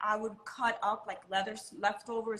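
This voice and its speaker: With an American accent, a woman talks at a fairly high pitch in an unremarkable speaking voice. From Miami, Florida. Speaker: model and designer. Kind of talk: casual interview.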